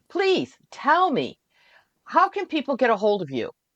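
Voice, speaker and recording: Speaking at a moderate pace with an American accent, a woman uses vocal fry and very wide pitch swings, her dry, close sound carrying no echo over a quiet background. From upstate New York. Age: 70s. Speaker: festival radio host interviewer. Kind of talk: casual interview chat.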